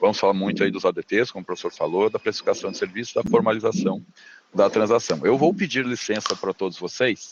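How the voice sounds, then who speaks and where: A man is speaking. His pace is very fast. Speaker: business consultant lecturer. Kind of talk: lecture over video call.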